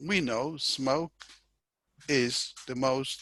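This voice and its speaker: The man speaks with a non-native accent at a fairly high pitch, his pitch variation ordinary and the sound dry and close with no echo. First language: not English. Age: 60s. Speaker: professor. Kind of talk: interview. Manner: halting.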